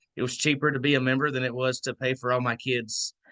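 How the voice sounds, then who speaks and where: A man with a Southern accent, a bright, sharp tone, medium pitch and fairly even intonation, in a dry, close sound with no echo and a quiet background. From Georgia, US South. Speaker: membership co-director of a nonprofit. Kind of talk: online orientation talk. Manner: casual, hesitant fillers.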